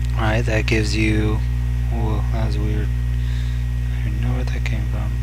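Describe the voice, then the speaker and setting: There is noticeable background noise behind this man's very deep, low voice. His intonation is monotone and flat, and his pace fairly slow. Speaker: math instructor. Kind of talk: educational lecture video. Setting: recorded screencast lecture. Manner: monotone, casual.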